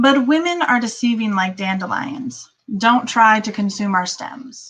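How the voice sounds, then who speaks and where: Speaking with an American accent, a woman uses a fairly high pitch and ordinary pitch variation. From Vermont. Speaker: poet and teacher. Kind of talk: poetry reading.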